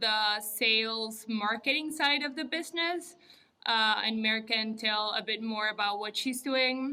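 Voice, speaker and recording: At a fairly slow pace, a woman with a Spanish accent talks at a fairly high pitch with ordinary pitch variation. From Uruguay. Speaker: architect and entrepreneur. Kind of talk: podcast interview.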